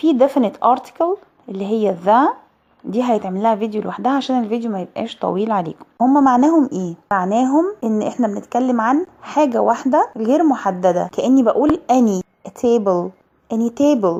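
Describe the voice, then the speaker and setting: With an unremarkable speaking voice, a woman talks at a moderate pace in a fairly high pitch and lively intonation. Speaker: English teacher. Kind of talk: educational lesson to camera.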